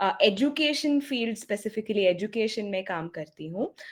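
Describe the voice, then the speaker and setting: A woman is speaking. Her intonation is lively. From India, Bengaluru. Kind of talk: webinar talk. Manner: hesitant.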